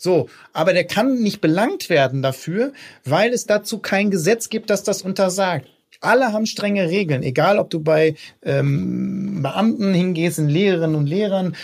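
A man's voice with ordinary pitch variation. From Ruhr area, Germany. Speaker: politician. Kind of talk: interview.

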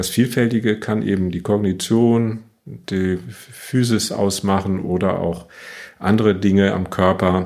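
Fairly low in pitch, a man talks in a normal speaking voice. His intonation is fairly even and his pace fairly slow. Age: 60s. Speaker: neurologist, chief physician. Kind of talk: interview.

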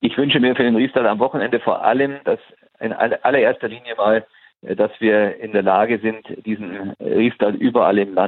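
This man has an ordinary speaking voice, a medium pitch and a moderate pace. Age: 60s. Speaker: football association president. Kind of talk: interview. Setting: phone call.

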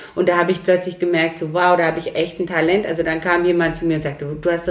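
A woman speaks at a fairly low pitch with noticeable background noise behind her. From Romania (Transylvania), came to Germany around age 9. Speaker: lawyer and civil servant. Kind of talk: casual interview.

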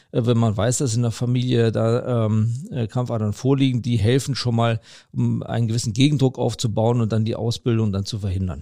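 On a very clean recording with a silent background, a man with a medium pitch talks at a moderate pace with fairly even intonation. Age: 50s. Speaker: vascular surgeon, chief physician. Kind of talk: expert interview. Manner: hesitant with many fillers.

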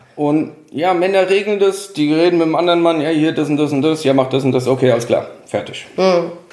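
Speaking at a fairly quick pace with hardly any pauses, a man's fairly high voice keeps very even loudness and ordinary pitch variation. Audible room echo and noticeable background noise surround him. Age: 30s. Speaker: podcast guest. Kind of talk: casual chat.

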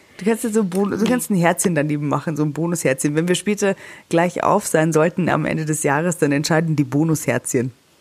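Ordinary pitch variation in fairly quick speech. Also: woman, fairly low pitch for a woman. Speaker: celebrity news podcast host. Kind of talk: casual chat. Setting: holiday room in the Alps.

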